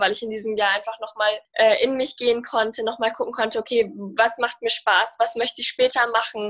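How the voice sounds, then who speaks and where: Her voice is fairly high and her intonation monotone and flat. The woman speaks at a fairly quick pace. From Germany. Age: 20s. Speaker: sprinter. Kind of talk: interview.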